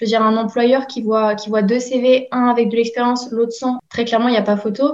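Noticeable background noise sits behind a woman's fairly high voice. She talks at a fairly quick pace with monotone, flat intonation. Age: 20s. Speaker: recruitment apprentice and bachelor's student. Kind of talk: interview. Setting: remote call.

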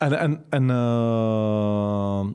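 A man with a Czech accent speaks at a fairly low pitch. His intonation is fairly even. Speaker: MMA commentator and promoter. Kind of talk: interview. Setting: in person.

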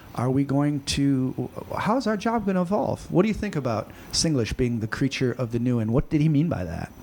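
A man speaks with an American accent at a fairly high pitch and a fairly quick pace. His pitch swings very widely over noticeable background noise. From United States. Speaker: teacher and school podcast host. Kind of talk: casual interview. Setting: school podcast recording.

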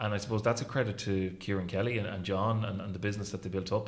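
A man's fairly low-pitched voice with an Irish Midlands accent, very fast in pace and monotone, flat in intonation, with audible room echo. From Ireland, County Roscommon. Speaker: hotel general manager. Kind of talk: interview. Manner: halting, many repetitions and fillers.

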